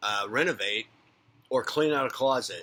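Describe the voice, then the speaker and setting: This man's voice is fairly high and moves at a moderate speed. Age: 50s. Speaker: psychic medium and spiritual coach. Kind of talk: unscripted spiritual monologue. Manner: rambling, conversational.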